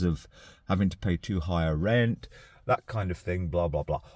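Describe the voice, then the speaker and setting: Very deep and low, a man's voice moves at a moderate pace. The recording is very clean with a silent background. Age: 60s. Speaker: vlogger. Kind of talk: casual vlog talk. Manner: hesitant, with fillers and repetitions.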